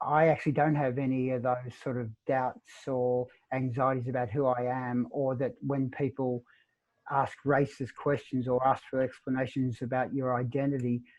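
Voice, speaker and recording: Speaking with an Australian accent, a man keeps a medium pitch and a moderate pace in a monotone, flat intonation. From Melbourne, Australia. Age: 60s. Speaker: author. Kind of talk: interview. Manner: halting.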